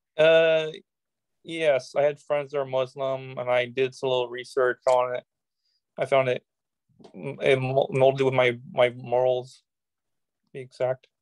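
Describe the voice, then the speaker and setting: A man with an American accent speaks at a fairly slow pace and a medium pitch, leaving long, frequent pauses. His intonation is fairly even, and the sound is dry with no echo over a quiet background. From United States. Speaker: political activist; interview guest. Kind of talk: interview. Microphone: video call.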